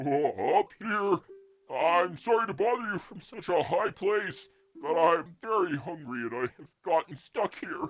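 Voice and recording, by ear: At a moderate pace, a put-on character voice speaks at a middle pitch.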